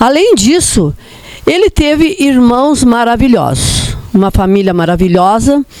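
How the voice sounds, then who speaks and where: The pace is fairly slow, with very wide pitch swings. Noticeable background noise can be heard. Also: woman. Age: 70s. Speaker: daughter of an honoured politician. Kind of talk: personal testimony at a commemoration.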